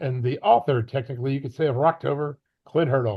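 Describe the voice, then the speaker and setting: A man's somewhat breathy, medium-pitched voice at a fairly quick pace with fairly even intonation. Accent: American. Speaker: sports podcast co-host. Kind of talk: interview with scripted intro.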